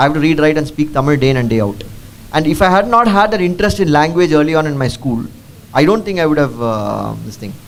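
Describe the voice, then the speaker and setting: A man with a Keralan accent, very fast, at a fairly high pitch and with lively intonation. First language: Malayalam. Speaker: district collector, civil servant. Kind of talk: Q&A session with school students. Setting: school assembly with student audience. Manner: code-switching English and Tamil; halting, many fillers.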